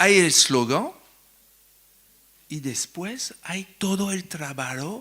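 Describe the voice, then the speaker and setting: A man speaks in a French accent at a very slow pace. His intonation is lively. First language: French (speaking Spanish). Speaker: psychoanalyst, invited lecturer. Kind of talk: lecture with questions from the audience. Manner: halting, searching for words.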